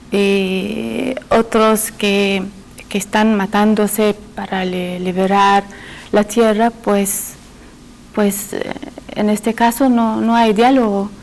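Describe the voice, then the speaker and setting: Over noticeable background noise, a woman with an Arabic accent speaks at a very slow pace and medium pitch, monotone and flat, with long, frequent pauses. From Syria. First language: Arabic (speaking Spanish). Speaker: panel guest. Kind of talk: panel discussion. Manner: hesitant, many fillers.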